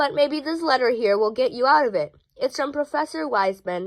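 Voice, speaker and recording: A woman's fairly quick speech moves through very wide pitch swings. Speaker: children's book reader. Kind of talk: reading aloud. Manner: occasional stumbles and restarts.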